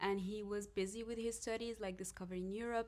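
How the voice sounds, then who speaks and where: A woman with an Arabic accent talks at a fairly quick clip in a flat monotone. Noticeable background noise sits behind her voice. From Morocco, Casablanca. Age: 30s. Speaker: podcast guest. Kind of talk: casual chat. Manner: halting.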